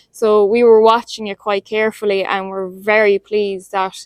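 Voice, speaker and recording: A woman with an Irish accent speaks at a medium pitch and a moderate pace. Her intonation is monotone and flat, and the sound is dry and close with no echo. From Ireland, County Limerick. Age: young. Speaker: dairy farmer. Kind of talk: testimonial.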